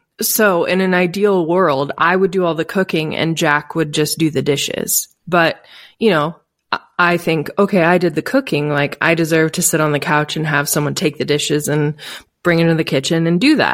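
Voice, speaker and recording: On a very clean recording with a silent background, a woman speaks at a moderate pace in a fairly low voice, with ordinary pitch variation and very even loudness. She has an unremarkable speaking voice. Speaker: podcast co-host. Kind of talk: casual discussion. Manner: casual.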